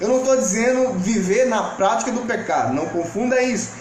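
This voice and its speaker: A man's extremely high-pitched voice amid noticeable background noise and audible room echo. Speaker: pastor. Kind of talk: sermon. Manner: informal, direct address to viewers.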